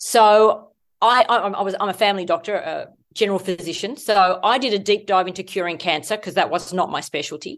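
A fairly quick voice with an Australian accent and ordinary pitch variation, over a quiet background. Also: woman. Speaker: medical doctor and author. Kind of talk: interview, explanatory health talk.

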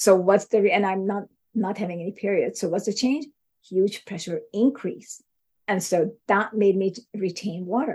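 A woman with a somewhat breathy voice and a dark, mellow tone speaks at a moderate pace and medium pitch, with ordinary pitch variation. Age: 60s. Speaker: neuroscience researcher. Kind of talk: interview.

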